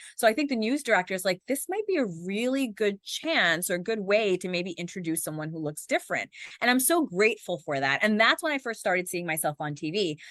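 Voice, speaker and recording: Energetic and fairly quick with hardly any pauses, a woman speaks at a medium pitch with very wide pitch swings, the sound dry and close with no echo against a quiet background. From New York City, Queens. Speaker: news anchor. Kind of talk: interview. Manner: fast.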